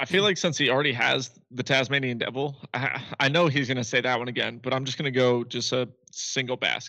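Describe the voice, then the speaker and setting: The man's tone is bright and sharp, at medium pitch. He keeps a fairly even intonation and a fairly quick pace. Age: 20s. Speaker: podcast co-host. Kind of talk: casual chat.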